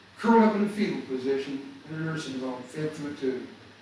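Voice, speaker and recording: A man speaks at a fairly high pitch and a moderate pace, with ordinary pitch variation. Noticeable background noise and audible room echo are in the recording. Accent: American. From US South. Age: 70s. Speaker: motivational speaker. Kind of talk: motivational talk. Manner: animated.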